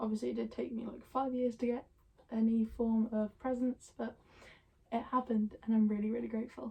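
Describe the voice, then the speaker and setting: A woman speaks quietly in a dark, mellow tone. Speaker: youtuber. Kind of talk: casual Q&A. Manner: hesitant, many ums.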